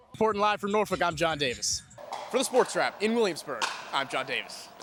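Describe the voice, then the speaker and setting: With music in the background, a man talks fairly quickly in a high pitch with lively intonation. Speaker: sports reporter. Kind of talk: news reading.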